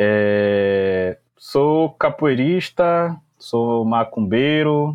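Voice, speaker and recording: A man speaks at a medium pitch, with ordinary variation in his pitch. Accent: Bahian. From Brazil, Salvador (Bahia). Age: 20s. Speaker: English teacher and language school founder. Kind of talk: casual interview.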